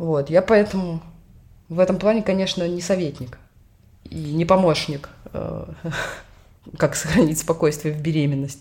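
A woman's fairly low voice at a moderate pace, with ordinary pitch variation and long, frequent pauses. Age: 30s. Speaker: podcast co-host, bank manager on maternity leave. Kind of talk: casual chat.

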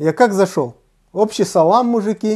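Against a quiet background, a man with a dark, mellow tone and lively intonation speaks at a moderate pace. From Uzbekistan. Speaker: stand-up comedian. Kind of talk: casual chat.

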